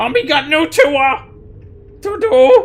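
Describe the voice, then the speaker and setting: A shouting, high-pitched put-on character voice. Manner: screaming, frantic.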